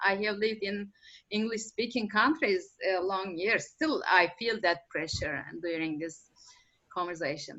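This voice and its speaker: A woman with a non-native accent speaks at a medium pitch with lively intonation. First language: not English. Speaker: permaculture practitioner. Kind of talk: panel discussion. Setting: conference panel. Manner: halting.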